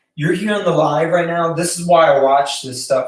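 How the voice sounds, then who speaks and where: The man's voice sits at a fairly high pitch. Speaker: filmmaking YouTuber. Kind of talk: casual live stream tutorial. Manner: hesitant, many fillers.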